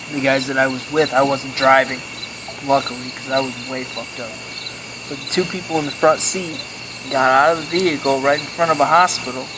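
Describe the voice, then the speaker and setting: Noticeable background noise runs behind speech that comes at a fairly quick pace. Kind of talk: campfire story told casually.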